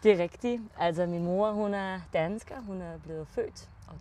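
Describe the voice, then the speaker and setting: A woman speaks at a very slow pace. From Germany (Rheingau, Hesse). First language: German (speaking Danish). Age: 20s. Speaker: winemaker. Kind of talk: podcast interview. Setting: in-person conversation.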